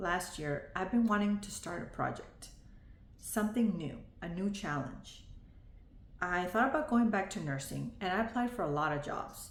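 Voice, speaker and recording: With audible room echo, a woman of medium pitch talks at a moderate pace using lively intonation. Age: 40s. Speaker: vlogger, former nurse. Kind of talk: video diary monologue. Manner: reading from notes.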